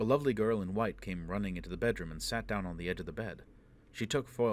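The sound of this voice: Pitch shifts in an ordinary way here. The reading voice is unforced.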